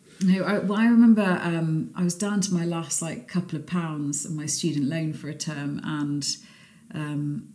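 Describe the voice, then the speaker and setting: In a room with audible echo, a woman speaks at a very deep, low pitch with ordinary pitch variation. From Scunthorpe, northern England. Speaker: cookbook author and cook. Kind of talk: casual chat. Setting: at her home.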